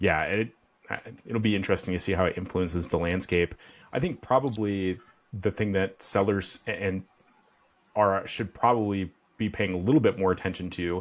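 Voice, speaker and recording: In a very clean recording with a silent background, a man with a Midwestern accent speaks at a moderate pace with long, frequent pauses. His pitch is fairly low, with ordinary variation. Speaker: podcast host. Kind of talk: interview.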